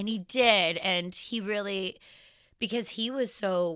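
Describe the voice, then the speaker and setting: A bright, sharp tone in a Canadian accent, fairly even intonation and a fairly slow pace, on a very clean recording with a silent background. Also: woman. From Canadian prairies, Saskatchewan. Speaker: fashion designer. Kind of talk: interview.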